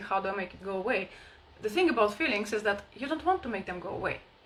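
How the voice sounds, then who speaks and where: Against noticeable background noise, a woman talks at a very fast pace with lively intonation. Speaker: spiritual healing coach. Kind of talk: live online workshop talk. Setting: livestream.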